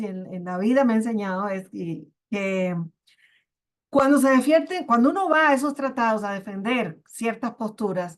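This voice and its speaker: A woman speaks at a moderate pace, her high pitch carrying lively intonation. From Cuba. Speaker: genetic resources official. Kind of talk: panel discussion.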